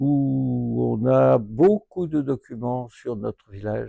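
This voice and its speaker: A man's voice with a dry, close sound and no echo. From France, Lyon area. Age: 80s+. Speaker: retired doctor and local historian. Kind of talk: interview testimony. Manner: hesitant, frequent fillers.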